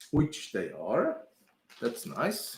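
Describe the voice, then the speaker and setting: This speaker has a non-native accent. Delivery comes at a very slow pace. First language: not English. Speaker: PC building streamer. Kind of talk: casual live-stream commentary while building a PC.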